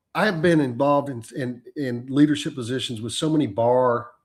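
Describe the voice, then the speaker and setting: A man with a Texan accent talks at a moderate pace with ordinary pitch variation in a very clean recording with a silent background. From Texas. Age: 60s. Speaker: trial lawyer. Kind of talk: interview conversation.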